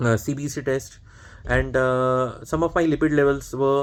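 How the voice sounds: The pace is moderate as a man talks. His intonation stays fairly even. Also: medium pitch for a man.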